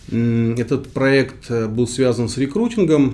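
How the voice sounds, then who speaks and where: A man speaks at a medium pitch in a dark, mellow tone, his pitch rising and falling in an ordinary way. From Kyrgyzstan, Central Asia. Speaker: startup founder. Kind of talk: interview. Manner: halting, many fillers.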